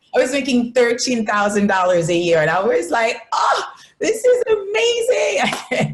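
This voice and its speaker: At a fairly slow pace and with very even loudness, a woman speaks amid audible room echo. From Haiti. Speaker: entrepreneur. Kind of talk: interview.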